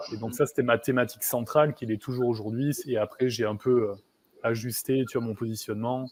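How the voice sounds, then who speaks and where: A man's medium-pitched voice at a fairly quick pace, in a flat monotone. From southwest France, near Bayonne. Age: 30s. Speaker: coach for highly sensitive people. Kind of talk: interview. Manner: hesitant, many fillers.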